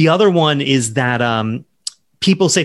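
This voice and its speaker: With an American accent and lively intonation, a man talks in a plain, everyday voice at medium pitch, over a quiet background. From US South, Charleston, South Carolina. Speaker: novelist. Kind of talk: interview.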